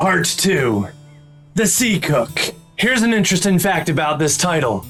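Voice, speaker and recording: In a put-on character voice, a man speaks high in pitch at a moderate pace. Clear music plays in the background. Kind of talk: livestream book club host talk.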